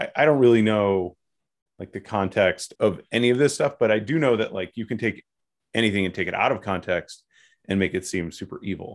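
At a fairly quick pace, the speaker uses an ordinary speaking voice with ordinary pitch variation, on a very clean recording with a silent background. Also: man, fairly low pitch for a man. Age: 30s. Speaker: podcast co-host, internet business buyer. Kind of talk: casual chat.

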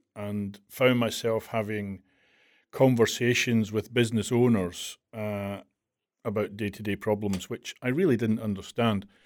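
Speaking with a Glasgow accent, a man uses a fairly low pitch and fairly even intonation at a fairly slow pace. The recording is very clean, with a silent background. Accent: Scottish, Glasgow. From Glasgow, Scotland. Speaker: implementation and training manager in the rental industry. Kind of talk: casual interview chat.

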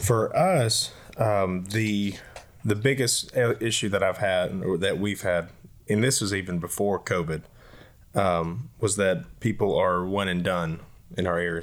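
With a Southern US accent, a man speaks at a fairly slow pace in a fairly low pitch with ordinary pitch variation, on a very clean recording with a silent background. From Leesville, Louisiana. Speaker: associate pastor. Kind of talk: casual discussion.

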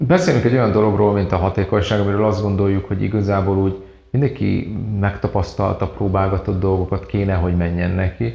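Very fast male speech, fairly low in pitch with ordinary pitch variation, over noticeable background noise. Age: 40s. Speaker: productivity method trainer. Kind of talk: interview. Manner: halting.

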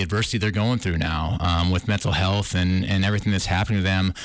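At a very fast pace, a man with an Upper Midwest accent speaks in a very clean recording with a silent background. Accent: Upper Midwest (Minnesota). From northern Minnesota. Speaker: film director. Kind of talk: interview. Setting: studio.

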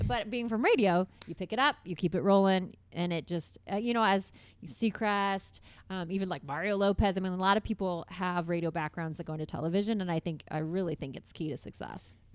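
A woman's normal speaking voice with an American accent, medium in pitch with ordinary pitch variation, at a fairly quick pace on a very clean recording with a silent background. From Indiana, US Midwest (Carmel). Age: 30s. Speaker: TV host and radio personality. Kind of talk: casual interview chat. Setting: studio.

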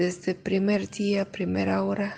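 Against noticeable background noise, a woman with a Russian accent talks at a fairly slow pace. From Russia (Caucasus), raised from age 7 in Kyiv, Ukraine. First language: Russian (speaking Spanish). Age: 40s. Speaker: violinist. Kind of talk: interview testimony.

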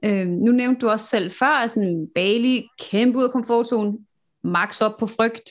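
This woman talks at a fairly slow pace with very even loudness. Her fairly high voice shows ordinary pitch variation against a quiet background. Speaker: podcast host. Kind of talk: interview. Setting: video call. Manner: animated.

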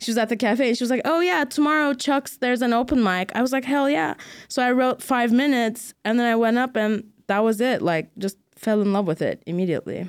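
A woman with a high pitch speaks at a fairly quick pace, with lively intonation and very even loudness. The recording is very clean, with a silent background. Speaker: comedian. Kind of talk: casual chat.

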